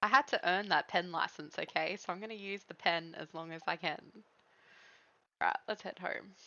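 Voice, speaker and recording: A woman with an Australian accent speaks at a medium pitch and a moderate pace. Her pitch varies in an ordinary way, while her loudness swings widely. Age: 30s. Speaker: game streamer. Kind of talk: casual chat. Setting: live stream.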